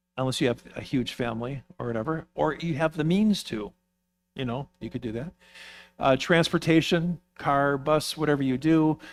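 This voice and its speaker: A man's ordinary speaking voice at a moderate pace, with ordinary pitch variation, on a very clean recording with a silent background. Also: fairly high pitch for a man. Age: 60s. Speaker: course teacher at a church. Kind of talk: lecture. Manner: casual, conversational with fillers.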